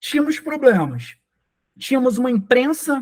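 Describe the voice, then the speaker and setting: Speaking with a Rio de Janeiro accent, a man keeps a moderate pace and ordinary pitch variation. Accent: Rio de Janeiro Brazilian Portuguese. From Rio de Janeiro, Brazil. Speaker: software engineer and tech speaker. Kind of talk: conference talk.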